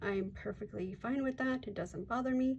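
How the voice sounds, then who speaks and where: Over light background noise, a woman with an American accent speaks at a moderate pace. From US. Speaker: coloring channel creator; coloring channel host. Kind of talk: casual vlog talk. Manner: relaxed, hesitant with fillers. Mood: warm, modest.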